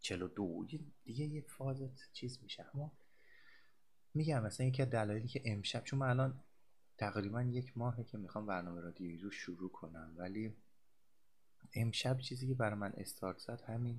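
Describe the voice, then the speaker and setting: Speaking at a fairly quick pace, a somewhat breathy man leaves long, frequent pauses. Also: medium pitch for a man, ordinary pitch variation. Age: 30s. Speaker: podcast host, psychology graduate. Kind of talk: casual monologue. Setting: home recording at a microphone. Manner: halting.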